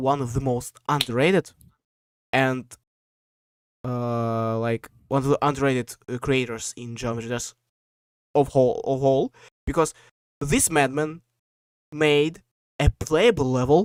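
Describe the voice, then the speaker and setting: A man with a Russian accent speaks fairly slowly at a medium pitch, with ordinary pitch variation and long, frequent pauses. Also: dry, close sound with no echo. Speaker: podcast host. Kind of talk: casual chat. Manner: halting, many fillers.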